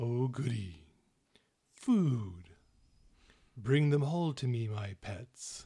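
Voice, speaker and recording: A man booms in a put-on character voice at medium pitch, very slowly, with long, frequent pauses. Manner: gloating, menacing.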